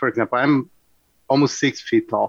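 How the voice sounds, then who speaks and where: A man speaks in a Portuguese accent with monotone, flat intonation. The sound is dry and close, with no echo. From Brazil, Rio de Janeiro. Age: 40s. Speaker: jiu-jitsu instructor. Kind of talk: radio interview.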